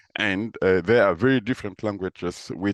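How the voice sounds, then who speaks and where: A man is heard against a quiet background. The sound is dry and close, with no echo. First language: Moore and Lele. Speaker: professor. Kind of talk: interview. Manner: halting, many fillers.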